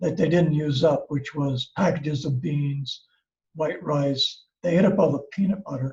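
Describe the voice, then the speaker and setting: With an American accent, a man speaks at a fairly slow pace in a fairly high pitch. He is somewhat breathy, with fairly even intonation. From US Midwest, Ohio. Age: 70s. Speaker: craft teacher and seller. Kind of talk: personal storytelling. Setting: video call. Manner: relaxed, with fillers.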